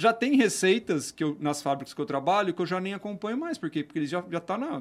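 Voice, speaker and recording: Here a man speaks in a high pitch with lively intonation. The recording is very clean, with a silent background. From Brazil, Campinas (São Paulo state). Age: 20s. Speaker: craft brewer and entrepreneur. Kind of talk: casual chat.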